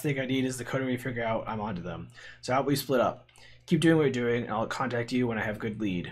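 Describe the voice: A text gets plain reading aloud. Nothing more is done with it.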